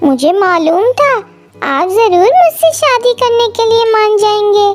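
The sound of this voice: A woman's cartoonish character voice, extremely high-pitched and fairly slow, with faint music in the background.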